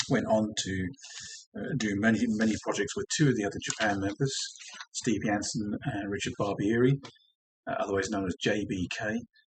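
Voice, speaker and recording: Speaking with an English accent, a man uses a fairly low pitch and a relaxed tone. He keeps a moderate pace broken by long, frequent pauses. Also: fairly even intonation. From England. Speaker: DJ and record collector. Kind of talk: casual vinyl collection show-and-tell. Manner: relaxed, with frequent ums.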